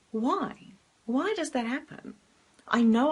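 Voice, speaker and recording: In a South African accent, a woman speaks at a moderate pace with ordinary pitch variation. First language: Afrikaans. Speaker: life coach. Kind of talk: motivational talk to camera. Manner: filler-heavy, some hesitation.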